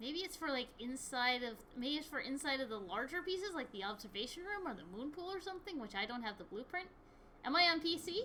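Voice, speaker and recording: With an American accent, a woman talks at a fairly quick pace in a high, bright, sharp voice. Her voice is raised and projected, with very wide pitch swings. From US Midwest, Michigan. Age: 20s. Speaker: gaming streamer. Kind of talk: casual gameplay chat.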